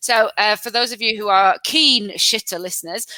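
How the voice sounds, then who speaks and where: A woman's animated, fairly high voice in a Lancashire accent at a moderate pace. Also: dry, close sound with no echo. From Lancashire, northern England. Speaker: podcast host. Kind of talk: casual chat.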